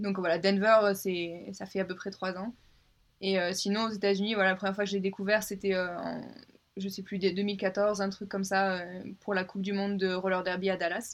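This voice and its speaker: Over a quiet background, a woman speaks at a moderate pace and medium pitch with monotone, flat intonation. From southern France, Avignon. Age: 20s. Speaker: American football player. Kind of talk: casual chat.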